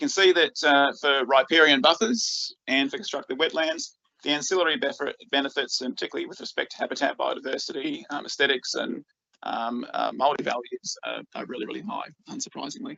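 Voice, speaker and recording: Talking at a fairly quick pace, a man with an Australian accent shows big swings in loudness. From Australia, rural northeast Victoria. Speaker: freshwater scientist. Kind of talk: conference presentation. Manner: halting, many fillers and repeats.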